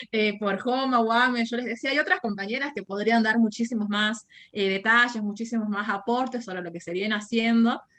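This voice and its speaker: In a plain, everyday voice, a woman talks at a fairly quick pace with hardly any pauses, her fairly high pitch showing ordinary variation. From Argentina, Jujuy (northwest). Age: 20s. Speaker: university lecturer and anti-racism activist. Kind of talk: podcast interview.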